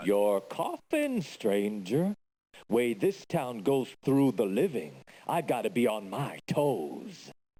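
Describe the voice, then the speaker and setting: A man puts on a character voice at a medium pitch with very wide pitch swings. He talks very slowly at a very even loudness. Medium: video game. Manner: dry, morbid.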